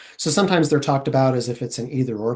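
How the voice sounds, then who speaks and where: Somewhat breathy male voice at medium pitch, ordinary pitch variation, quiet background. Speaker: traffic safety researcher. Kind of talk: webinar presentation. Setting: online webinar. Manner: fairly fast; hesitant with fillers and restarts.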